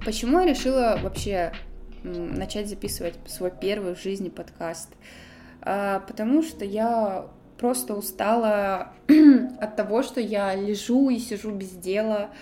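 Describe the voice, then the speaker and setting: A woman talks at a very slow pace in a fairly high voice with a dark, mellow tone and ordinary pitch variation. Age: 20s. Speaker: podcaster. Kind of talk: personal storytelling monologue. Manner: chatty, casual.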